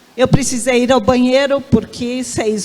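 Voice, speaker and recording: Over noticeable background noise, a woman speaks at a fairly slow pace with a fairly high pitch and fairly even intonation. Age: 60s. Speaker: professor and researcher. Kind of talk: panel discussion.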